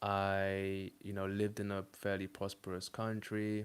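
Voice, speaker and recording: With a British accent, a man speaks at a fairly low pitch in a monotone, flat intonation. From UK. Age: 20s. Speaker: dating coach and streamer. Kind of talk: live stream monologue. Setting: live stream. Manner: casual, with frequent fillers.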